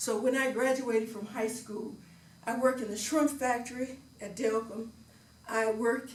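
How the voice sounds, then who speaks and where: Over noticeable background noise, a woman speaks at a moderate pace with a fairly high pitch and fairly even intonation. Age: 80s+. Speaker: retired educator with doctorate. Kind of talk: speech at public speaking club.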